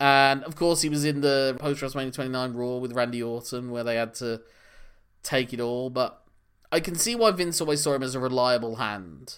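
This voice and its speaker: A man's unremarkable speaking voice at medium pitch and a fairly quick pace. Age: 40s. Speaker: wrestling podcast co-host. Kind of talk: casual chat.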